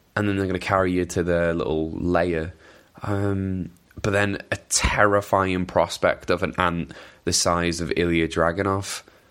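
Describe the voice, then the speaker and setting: Speaking at a fairly slow pace, a man with a Welsh accent has a very deep, low pitch. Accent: mild Welsh. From Wales. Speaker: wrestling podcast host. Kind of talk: casual chat. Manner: hesitant, many fillers and repetitions.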